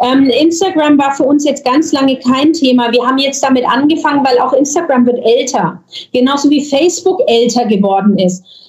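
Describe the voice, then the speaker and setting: A woman with a high pitch talks at a moderate pace, with ordinary pitch variation and very even loudness. There is noticeable background noise. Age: 40s. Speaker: real estate agent, agency owner. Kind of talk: podcast interview. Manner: hesitant, many filler sounds.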